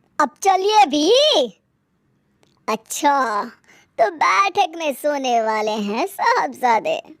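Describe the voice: Putting on a character voice, a woman talks slowly at a high pitch with lively intonation.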